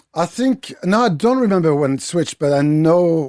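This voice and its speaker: Speaking in a strong French accent, a man with a dark, mellow tone uses lively intonation at a moderate pace, heard in a dry, close sound with no echo. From France. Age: 50s. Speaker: chef and TV cooking show judge. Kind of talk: radio interview. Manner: halting, repeats words.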